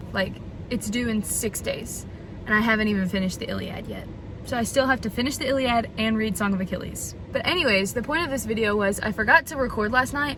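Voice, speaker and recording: Very fast speech from a woman at a fairly high pitch with ordinary pitch variation, against noticeable background noise. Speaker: book vlogger. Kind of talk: reading vlog. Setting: student lounge at school, in one segment. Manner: whispering in one segment; casual, filler-heavy.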